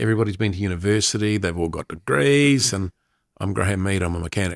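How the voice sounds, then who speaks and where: Speaking very fast with a New Zealand accent, a man with a fairly low pitch and ordinary pitch variation comes through in a dry, close sound with no echo. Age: 60s. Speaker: sports commentator. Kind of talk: casual chat.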